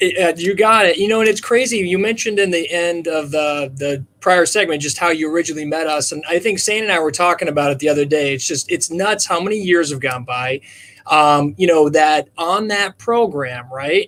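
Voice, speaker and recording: A man speaks in a Minnesotan accent with a high pitch. He leaves hardly any pauses. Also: ordinary pitch variation, fairly quick pace. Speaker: charity co-founder. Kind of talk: casual chat. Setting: virtual livestream.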